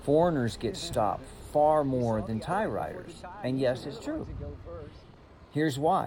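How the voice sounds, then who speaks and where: With an American accent, a man speaks in a fairly high voice with lively intonation. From United States. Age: 60s. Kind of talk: travel vlog narration.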